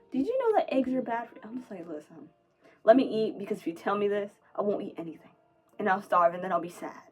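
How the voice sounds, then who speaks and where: Against music in the background, a woman talks at a very fast pace in a medium pitch. Her intonation is lively, with big swings in loudness. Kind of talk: personal monologue. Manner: halting, self-correcting; rapid word stream.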